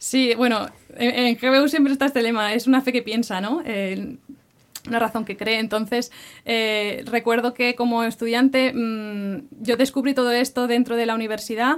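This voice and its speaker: A plain, everyday voice at a moderate pace, with fairly even intonation. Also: woman, fairly high pitch for a woman. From Barcelona, Catalonia, Spain. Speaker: campus ministry worker. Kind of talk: interview.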